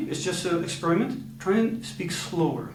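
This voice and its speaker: A man talks in a high voice. Room echo is audible, with noticeable background noise. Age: 40s. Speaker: communication coach. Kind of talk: coaching demonstration. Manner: slow; calm.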